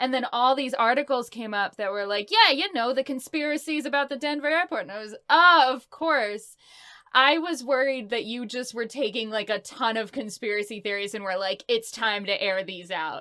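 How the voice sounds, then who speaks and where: In a very clean recording with a silent background, a woman speaks at a moderate pace in a high, bright, sharp voice with an upbeat tone and lively intonation. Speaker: voice actress. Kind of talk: interview answer. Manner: upbeat, chatty.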